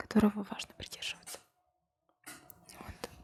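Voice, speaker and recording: Quietly, a woman whispers in a calm tone. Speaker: ASMR creator. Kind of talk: ASMR chat to camera. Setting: indoors with fireplace sounds. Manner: whispered, quiet; calm, slow.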